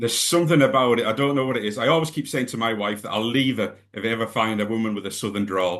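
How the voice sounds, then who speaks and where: Very fast speech with hardly any pauses, in a Scottish accent, with ordinary pitch variation. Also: man, medium pitch for a man. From Scotland. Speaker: music interviewer. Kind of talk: interview.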